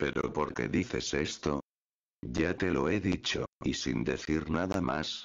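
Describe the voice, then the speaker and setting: A man talks at a very slow pace, his pitch very deep and low. Vocal fry runs through his voice. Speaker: YouTuber. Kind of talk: creepypasta ghost story narration, hushed and ominous, with suspenseful pauses. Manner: casual, friendly YouTuber.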